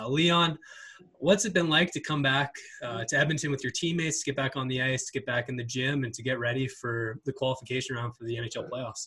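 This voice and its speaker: Speaking at a fairly quick pace, a man has a medium pitch, ordinary pitch variation, and a plain, everyday voice. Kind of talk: podcast hosting and interview. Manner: clear, polished, upbeat announcer-style delivery.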